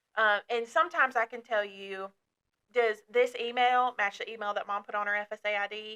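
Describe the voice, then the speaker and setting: A woman with an American accent and a bright, sharp tone, fairly high pitch and moderate pace, in a dry, close sound with no echo. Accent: Southern US accent, stronger when passionate. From northern Kentucky (Dry Ridge). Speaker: outreach counselor. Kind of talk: podcast discussion. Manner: animated, passionate.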